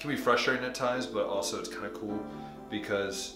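A man talks with clear music playing in the background. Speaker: missionary vlogger. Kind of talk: casual vlog chat. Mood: cheerful, light. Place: bathroom. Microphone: phone near.

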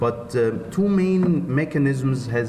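The pitch rises and falls in an ordinary way. Noticeable background noise sits behind the speech. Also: man. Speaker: lecturer at a medical congress. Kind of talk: lecture. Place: hall.

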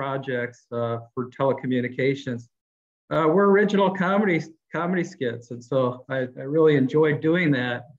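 Over music in the background, a man with an American accent speaks at a moderate pace, fairly high in pitch with ordinary pitch variation. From US Midwest (Akron, Ohio). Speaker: communications director. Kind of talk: interview. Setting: video call.

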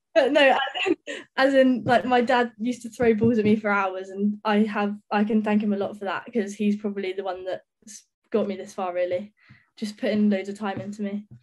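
Speaking at a fairly quick pace in a southern English accent, a woman uses a medium pitch and fairly even intonation. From England, Sussex (Brighton). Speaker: professional cricketer. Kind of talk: interview.

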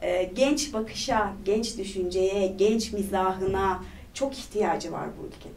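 Speaking at a very slow pace, a woman shows ordinary pitch variation and big swings in loudness. Light background noise is present. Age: 30s. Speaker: parliamentary candidate; candidate. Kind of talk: interview. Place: studio.

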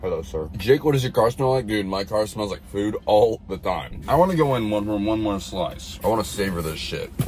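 Faint music plays behind a man with a fairly low pitch. He barely pauses at all. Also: moderate pace. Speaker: livestreamer. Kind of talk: casual livestream chat. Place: car. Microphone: phone near.

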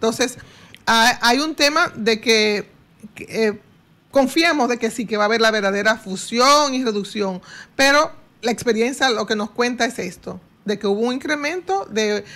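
Her intonation is lively and her pitch high for a woman. This woman talks at a moderate pace. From Dominican Republic. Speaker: economist; guest. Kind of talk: radio interview. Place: studio. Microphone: studio mic.

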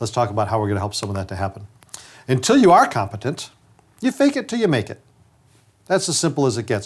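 Somewhat breathy, a man with an American accent talks very fast with lively intonation, yet leaves long, frequent pauses. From upstate New York. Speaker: dentist and trainer; trainer. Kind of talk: lecture. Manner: conversational. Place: studio. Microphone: lapel.

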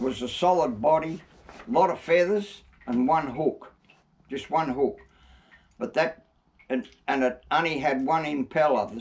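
Long, frequent pauses break up a man's fairly slow speech. He speaks with an Australian accent. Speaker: retired Murray cod fisherman. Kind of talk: reminiscing interview answer. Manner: casual, hesitant. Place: workshop.

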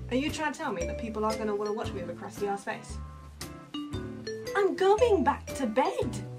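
A woman with a British accent speaks at a fairly quick pace with long, frequent pauses. Clear music plays in the background. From England. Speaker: vlogger. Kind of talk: casual talk to camera. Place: home room. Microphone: webcam.

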